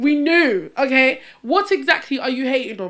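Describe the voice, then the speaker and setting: The intonation is lively. It is a very clean recording with a silent background. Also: woman. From England, Essex. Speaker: podcast co-host. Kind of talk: casual chat.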